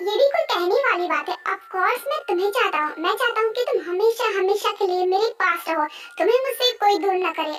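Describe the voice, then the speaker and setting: A put-on character voice rattles along at a fairly quick pace with hardly any pauses. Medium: dub. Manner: menacing, threatening.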